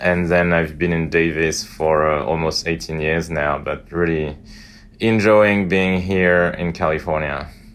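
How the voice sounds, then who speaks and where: With a French accent, a man talks at a fairly slow pace in a very deep, low pitch, his intonation fairly even. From northern France. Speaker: veterinary imaging professor. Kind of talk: podcast interview.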